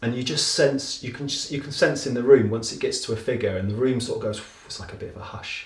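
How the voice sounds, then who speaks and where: Someone talks at a very fast pace with big swings in loudness over noticeable background noise. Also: man, medium pitch for a man. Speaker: auctioneer. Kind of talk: interview answer explaining his work. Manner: conversational, enthusiastic.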